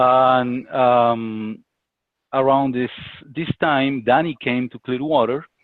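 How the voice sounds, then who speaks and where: In a Spanish accent, a man speaks very slowly at a medium pitch, his intonation fairly even and his pauses long and frequent. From Colombia. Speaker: business associate. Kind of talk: interview. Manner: halting.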